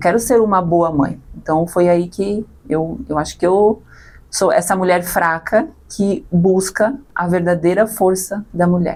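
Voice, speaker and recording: A woman talks at a fairly slow pace in a medium-pitched voice with ordinary pitch variation. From Santa Catarina, southern Brazil. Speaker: mother and social media creator. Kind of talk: podcast interview.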